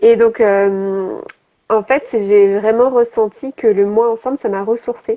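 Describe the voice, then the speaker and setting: This woman's voice is fairly high, with fairly even intonation. She speaks at a very slow pace. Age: 30s. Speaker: health and business coach. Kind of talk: interview on live stream. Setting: Instagram live video. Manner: hesitant, many fillers.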